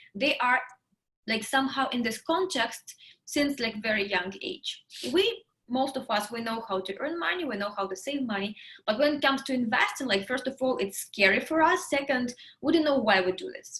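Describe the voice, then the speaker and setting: In a Russian accent, a woman talks at a moderate pace with a high pitch, lively intonation and a bright, sharp tone. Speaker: interview host. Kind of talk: casual interview.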